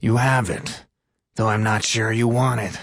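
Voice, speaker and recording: A man puts on a rumbling character voice at medium pitch, talking at a moderate pace with monotone, flat intonation. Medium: read story. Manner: solemn, melodramatic.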